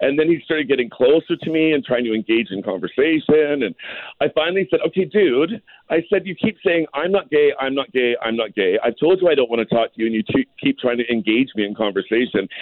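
A fairly high-pitched male voice in a Canadian accent, very fast, with very wide pitch swings. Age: 50s. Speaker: drag queen and activist. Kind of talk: radio interview. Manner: animated.

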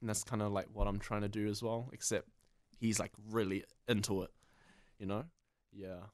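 A man with a New Zealand accent speaks at a moderate pace in a fairly low pitch, his intonation fairly even and his speech broken by long, frequent pauses. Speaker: comedy video creator. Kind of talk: casual interview.

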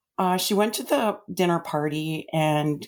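In a very clean recording with a silent background, a woman speaks in a plain, everyday voice. Her pitch is fairly low, with ordinary pitch variation, at a fairly slow pace. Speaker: mother of the host. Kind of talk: personal testimony.

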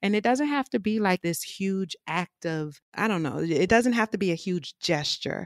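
Speaking at a moderate pace with hardly any pauses, a woman with an American accent uses lively intonation at a medium pitch. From New Orleans, US South. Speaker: mental health advocate and podcaster. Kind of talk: casual interview conversation. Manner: eloquent speaker.

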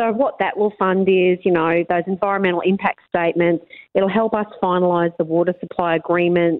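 An upbeat woman with an Australian accent talks at a fairly quick pace with hardly any pauses and very even loudness. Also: medium pitch for a woman. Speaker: mayor. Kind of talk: radio interview.

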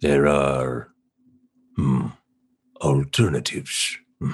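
In a put-on character voice, a man speaks very slowly at a very deep, low pitch. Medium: actual play. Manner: slow, cryptic, thoughtful hums.

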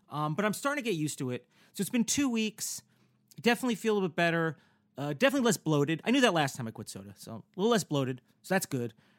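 At a very fast pace, a man speaks with a high pitch, very wide pitch swings and big swings in loudness. The recording is very clean with a silent background, and the sound is dry and close with no echo. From US Northeast (New Jersey, New York). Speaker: podcast host. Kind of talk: casual chat. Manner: excitable.

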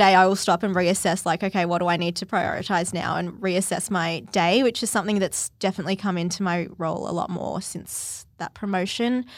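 A woman with an Australian accent and a medium pitch talks at a fairly quick pace with hardly any pauses, on a very clean recording with a silent background. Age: 20s. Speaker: publicist. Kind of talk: casual interview.

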